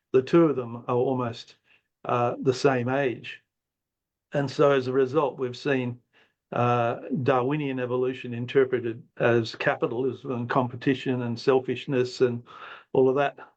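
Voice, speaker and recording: A man with an Australian accent talks at medium pitch and a moderate pace. His intonation is monotone and flat over a quiet background. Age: 70s. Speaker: retired professor and philosopher. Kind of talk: guest talk. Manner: halting, many fillers.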